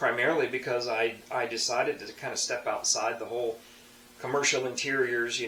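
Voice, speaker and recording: Noticeable background noise and audible room echo surround this recording. A man talks at a fairly quick pace. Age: 60s. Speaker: tradesman and hobby woodturner. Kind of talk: casual monologue to camera. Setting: home workshop. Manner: halting, many fillers and restarts.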